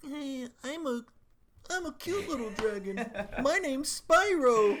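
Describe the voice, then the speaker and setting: Someone puts on a character voice, high-pitched and at a fairly slow pace. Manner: cute, light.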